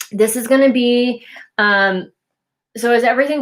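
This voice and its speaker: On a very clean recording with a silent background, a woman with an unremarkable speaking voice speaks at a moderate pace with ordinary pitch variation. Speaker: intuitive tarot card reader. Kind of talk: tarot card reading monologue. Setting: at home while making dinner. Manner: filler-heavy, casual.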